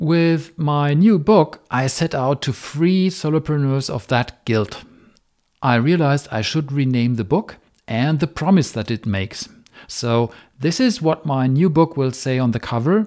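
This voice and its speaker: On a very clean recording with a silent background, a man speaks with a German accent at a fairly slow pace. His pitch is fairly high and his intonation lively. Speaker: software engineer and author. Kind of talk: monologue podcast snippet.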